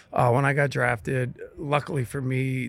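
Vocal fry in a Midwestern US accent, on a very clean recording with a silent background. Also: man. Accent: US Midwest. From Ohio, Steubenville. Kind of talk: casual interview. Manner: halting, repeats words.

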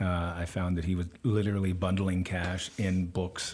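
Flat and monotone, a man with an American accent talks in a very deep, low pitch and a dark, mellow tone. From US West Coast (Stanford, California). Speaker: author and journalist. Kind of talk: interview. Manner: hesitant with many fillers.

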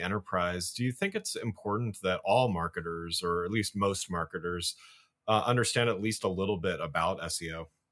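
At a moderate pace, a man with a plain, everyday voice speaks at a fairly low pitch on a very clean recording with a silent background. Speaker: podcast host and marketing consultant. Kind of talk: interview podcast.

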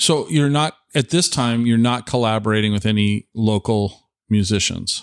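The speaker has an American accent and an ordinary speaking voice, with very even loudness and ordinary pitch variation. The pace is moderate with hardly any pauses, and the recording is very clean over a silent background. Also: man, medium pitch for a man. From Tacoma area, Washington. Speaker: podcast host. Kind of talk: casual chat. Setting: dining room table at guest's home.

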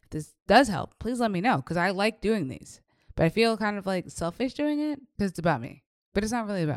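On a very clean recording with a silent background, a woman talks at a fairly quick pace in an animated tone with very wide pitch swings and big swings in loudness. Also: medium pitch for a woman. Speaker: business and faith coach, podcaster. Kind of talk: solo podcast monologue, casual chat. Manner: fast talker; animated, chatty.

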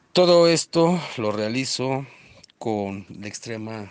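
This is a man speaking. He has a Mexican accent. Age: 40s. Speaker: delivery driver. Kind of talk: testimony.

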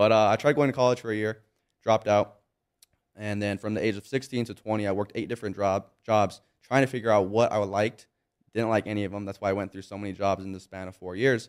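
In a very clean recording with a silent background, a man with a Californian accent and a fairly low pitch talks at a very fast pace with fairly even intonation. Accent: Californian American. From Southern California (Monrovia, near Pasadena). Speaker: entrepreneur and personal brand influencer. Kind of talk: casual interview. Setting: studio.

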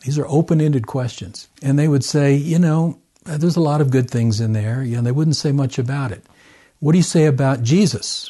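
This man talks at a fairly quick pace with an American accent, his voice somewhat breathy and his pitch varying in an ordinary way. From US South, southern Arkansas. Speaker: missionary researcher and author. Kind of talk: interview. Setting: at home.

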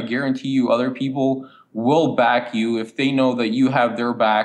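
At a medium pitch, a man is speaking. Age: 20s. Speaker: animal welfare nonprofit founder. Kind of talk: interview.

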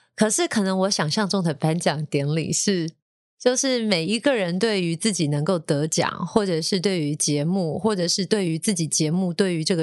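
With an ordinary speaking voice, the speaker keeps a moderate pace and ordinary pitch variation, with hardly any pauses. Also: woman. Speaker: radio DJ and podcast host. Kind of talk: casual chat.

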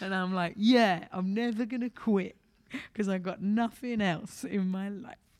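At a moderate pace, a woman with an English accent talks in a medium pitch. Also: fairly even intonation. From London, England. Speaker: stand-up comedian. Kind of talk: interview.

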